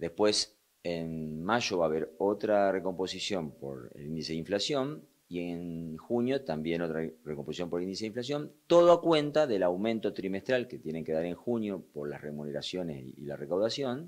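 This man's very deep, low voice moves at a moderate pace, with lively intonation and big swings in loudness. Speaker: union representative. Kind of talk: interview.

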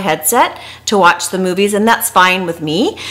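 This is a woman speaking. Her pace is moderate. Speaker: travel vlogger. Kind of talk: casual vlog chat. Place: home room. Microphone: phone near.

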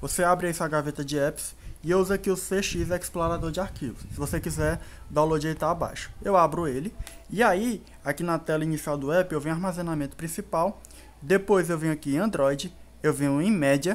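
A man with a high voice speaks at a fairly quick pace. His pitch rises and falls in an ordinary way. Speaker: tech YouTuber. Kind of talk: tutorial. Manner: casual.

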